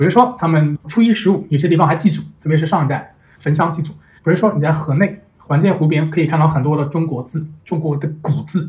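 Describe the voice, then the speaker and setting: A man with an ordinary speaking voice, fairly high in pitch, talks at a fairly quick pace with ordinary pitch variation. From Nanjing, China. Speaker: venture investor. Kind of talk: casual interview chat. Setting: remote recording.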